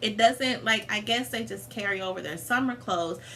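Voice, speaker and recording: There is noticeable background noise and audible room echo around the woman speaking. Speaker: vlogger. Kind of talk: casual chat. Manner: animated.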